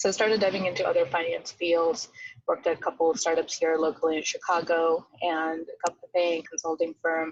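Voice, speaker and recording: Fairly low-pitched woman with a non-native accent, fairly even intonation and a moderate pace. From outside the US, moved to America at 13. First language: not English. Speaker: venture capital associate. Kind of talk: podcast interview.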